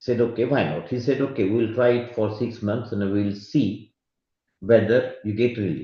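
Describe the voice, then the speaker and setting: With fairly even intonation and a moderate pace, a man talks in a somewhat breathy voice. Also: medium pitch for a man. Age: 60s. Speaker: medical expert speaker. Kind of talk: lecture. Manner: halting.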